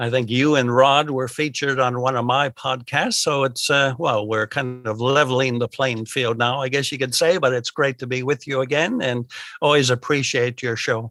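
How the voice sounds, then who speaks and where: Speaking with an American accent, a man talks at a moderate pace with hardly any pauses, in a medium pitch and a bright, sharp tone with fairly even intonation. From United States. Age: old. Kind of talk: interview.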